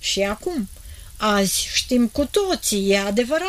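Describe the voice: What you hear is plain reading aloud.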